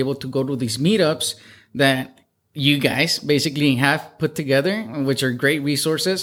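Recorded very cleanly against a silent background, a man with a fairly high pitch talks at a moderate pace in a plain, everyday voice. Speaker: real estate investor and software engineer. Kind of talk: casual podcast interview. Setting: studio.

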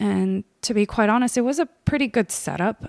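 A woman's medium-pitched voice with ordinary pitch variation comes through in a dry, close sound with no echo. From US (New Jersey area), born in Korea. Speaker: podcast host. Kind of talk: personal monologue.

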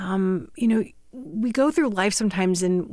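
This woman has a plain, everyday voice at medium pitch, with an American accent and lively intonation. She speaks at a moderate pace on a very clean recording with a silent background. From Northeast Indiana. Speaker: hospital administrator. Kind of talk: interview.

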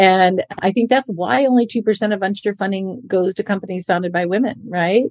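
A woman with an unremarkable speaking voice, medium pitch and ordinary pitch variation, at a moderate pace with hardly any pauses. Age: 50s. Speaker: podcast host and investor. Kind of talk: scripted intro; interview.

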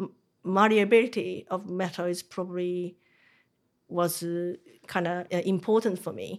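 A woman with a Japanese accent, medium pitch and a fairly slow pace. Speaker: metal artist. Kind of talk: interview. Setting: workshop. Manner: halting.

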